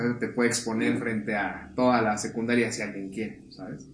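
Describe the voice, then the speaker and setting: A man talks at a fairly quick pace. Audible room echo and noticeable background noise fill the recording. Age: 20s. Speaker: podcast guest. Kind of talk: casual chat.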